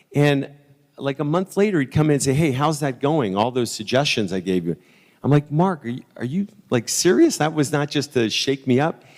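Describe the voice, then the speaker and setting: With lively intonation and an ordinary speaking voice, a man talks at a moderate pace and a fairly high pitch. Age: 60s. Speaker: sales executive. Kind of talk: conference talk. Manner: conversational, with repeated false starts.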